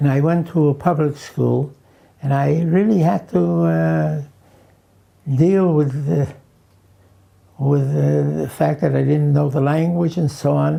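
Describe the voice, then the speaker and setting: In a Hungarian accent, a man speaks at a fairly slow pace with long, frequent pauses. His loudness stays very even. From New York (Queens), born in Romania. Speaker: elderly interviewee recalling his life. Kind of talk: oral history interview. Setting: at home. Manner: halting, many fillers.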